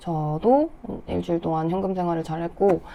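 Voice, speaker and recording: A woman's dark, mellow tone. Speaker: personal finance vlogger. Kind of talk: casual vlog talk. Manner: conversational.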